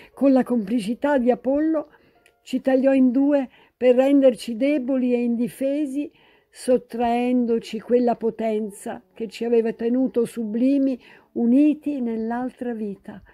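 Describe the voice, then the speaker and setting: Dark, mellow tone at a fairly slow pace with fairly even intonation, in a very clean recording with a silent background. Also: woman, high pitch for a woman. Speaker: actress, poet and historian. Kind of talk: dramatic literary reading of a love letter. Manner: passionate, emotional.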